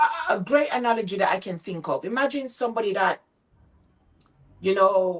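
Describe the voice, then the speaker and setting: A woman speaks in a Jamaican accent with an animated tone. Her intonation is lively. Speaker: motivational speaker and business coach. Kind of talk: interview.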